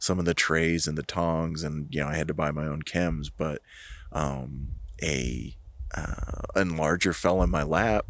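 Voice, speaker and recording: With an American accent, a man talks fairly slowly in a very deep, low pitch, his intonation fairly even and his voice showing vocal fry. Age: 40s. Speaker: amateur film photographer. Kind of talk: casual chat. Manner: halting.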